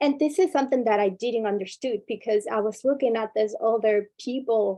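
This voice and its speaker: In a non-native accent, a woman speaks at a moderate pace with ordinary pitch variation. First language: not English. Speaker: workshop speaker, former student leader. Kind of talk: workshop talk.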